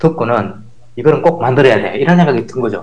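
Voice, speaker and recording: There is noticeable background noise behind this man. His pitch is fairly high, with ordinary variation. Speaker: professor and former software developer. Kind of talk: casual interview chat.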